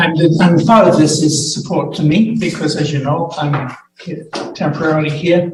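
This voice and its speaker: The intonation stays fairly even, and room echo can be heard. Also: man, fairly high pitch for a man, moderate pace. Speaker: acting medical officer of health. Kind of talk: public health briefing to council. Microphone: muffled with echoes.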